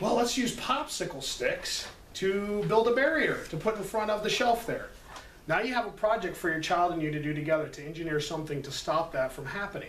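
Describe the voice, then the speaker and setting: A high-pitched man talks at a fairly quick pace with lively intonation. Noticeable background noise and audible room echo fill the recording. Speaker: preschool teacher. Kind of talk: parent workshop presentation. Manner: fast.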